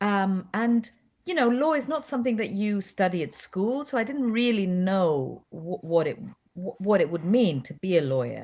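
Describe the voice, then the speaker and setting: A woman speaks at a moderate pace with a Greek accent, her medium-pitched voice moving with lively intonation over a quiet background. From Cyprus. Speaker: actress. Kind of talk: interview.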